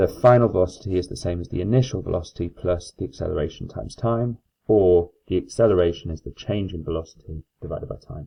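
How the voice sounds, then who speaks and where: At a very fast pace and with big swings in loudness, a man speaks at a very deep, low pitch with ordinary pitch variation. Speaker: maths teacher. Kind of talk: lecture. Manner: hesitant fillers.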